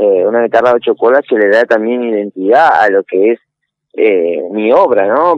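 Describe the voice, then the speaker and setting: The voice moves at a fairly slow pace in a dry, close sound with no echo. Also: man. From Argentina, Entre Ríos (Concordia). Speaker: guitarist and composer. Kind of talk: interview.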